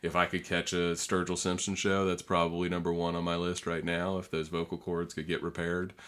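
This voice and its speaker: With an American accent, a man talks at a fairly quick pace in a very deep, low pitch, his intonation monotone and flat, with hardly any pauses. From northern Florida. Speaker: environmental lobbyist and attorney. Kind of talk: casual interview. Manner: halting, many fillers.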